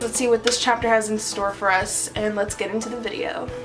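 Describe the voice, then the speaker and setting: Speaking at a fairly quick pace, a woman with a fairly high pitch is heard over noticeable background noise and audible room echo. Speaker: manga reaction youtuber. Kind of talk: casual review chat. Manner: animated.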